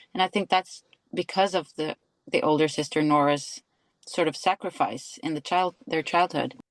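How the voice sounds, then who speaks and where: A woman with a Norwegian accent speaks in a fairly low pitch with ordinary pitch variation. The background is quiet. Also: moderate pace, dry, close sound with no echo. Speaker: actress. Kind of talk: interview. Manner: hesitant, searching for words.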